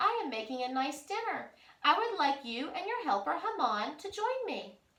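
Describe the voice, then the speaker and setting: A woman puts on a squeaky, high-pitched character voice with very wide pitch swings at a moderate pace. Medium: read story.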